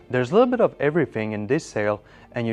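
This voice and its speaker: Speaking at a medium pitch, a man is heard with music in the background. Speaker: estate sale auction presenter. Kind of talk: promotional auction announcement to camera.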